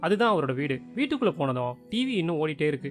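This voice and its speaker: With music playing in the background, a man speaks in a Chennai accent at a fairly high pitch. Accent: Chennai Tamil. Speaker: movie explainer narrator. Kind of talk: movie plot recap narration. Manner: casual, conversational.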